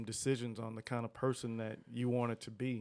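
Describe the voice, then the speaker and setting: The voice belongs to a man with a medium pitch. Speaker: podcast host. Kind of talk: casual chat. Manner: casual, friendly, warm.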